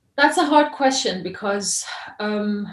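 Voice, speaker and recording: A woman at medium pitch, with lively intonation, a moderate pace, and audible room echo. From Iran, then moved between many countries. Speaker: journalist and filmmaker. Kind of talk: interview.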